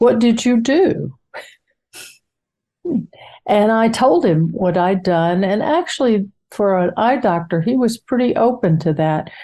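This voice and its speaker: A woman speaks at a very slow pace with a fairly high pitch and a dark, mellow tone. Her pitch swings very widely while her loudness stays very even. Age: 80s+. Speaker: course participant. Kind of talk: interview answer.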